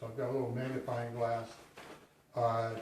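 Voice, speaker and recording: The speaker is a man talking at a moderate pace. Audible room echo and noticeable background noise surround him. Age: 60s. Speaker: hiker. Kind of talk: gear tutorial. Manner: halting, many fillers; casual.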